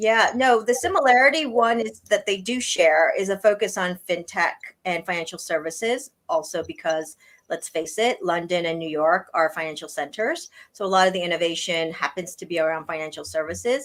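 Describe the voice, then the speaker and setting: A woman talks in an ordinary speaking voice at a medium pitch. She has an American accent and lively intonation. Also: moderate pace. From US East Coast. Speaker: blockchain industry executive. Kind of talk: interview.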